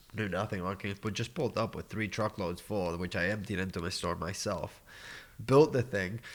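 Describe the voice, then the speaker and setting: With a New York accent, a man speaks at a fairly quick pace in a fairly low pitch with ordinary variation, on a very clean recording with a silent background. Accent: sounds like a New Yorker in English. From Argentina. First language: Spanish. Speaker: podcast guest, cacao business owner. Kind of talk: casual chat.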